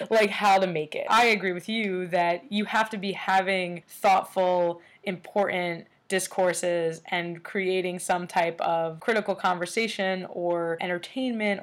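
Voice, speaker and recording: The speaker has a normal speaking voice with fairly even intonation and a fairly slow pace. The recording is very clean, with a silent background. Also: woman. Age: 30s. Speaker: podcast host and artist. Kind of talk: casual interview chat.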